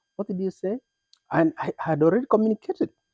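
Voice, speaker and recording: The man talks at a very fast pace, his high-pitched voice dark and mellow in tone, the sound dry and close with no echo. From Kenya. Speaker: immigrant, former teacher, moving company owner. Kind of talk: interview.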